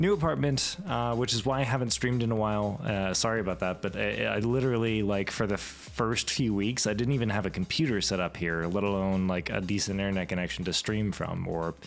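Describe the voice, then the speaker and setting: Lively intonation and a fairly quick pace come through over music in the background. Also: man. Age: 20s. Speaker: streamer. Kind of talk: casual chat. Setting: home livestream with podcasting microphone.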